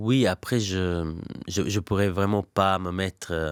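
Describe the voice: The tone is clear and smooth, with ordinary pitch variation. The recording is very clean, with a silent background. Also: man, low pitch for a man, fairly slow pace.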